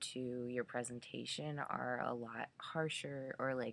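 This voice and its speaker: At a very slow pace, a woman talks in a very deep, low pitch with fairly even intonation. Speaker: vlogger documenting gender transition. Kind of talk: casual vlog monologue. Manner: hesitant, many fillers.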